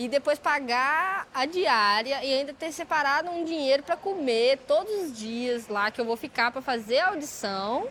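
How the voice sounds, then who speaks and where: A woman with a high pitch talks fairly slowly, her pitch swinging very widely. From Belo Horizonte, Minas Gerais, Brazil. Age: 20s. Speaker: breaking dancer. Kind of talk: interview testimony. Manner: casual, slangy.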